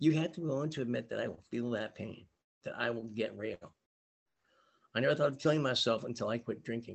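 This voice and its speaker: A very fast pace broken by long, frequent pauses. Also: man, medium pitch for a man, ordinary pitch variation. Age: 60s. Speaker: 12-step meeting speaker. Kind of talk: testimony. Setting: video call. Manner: reading from a script.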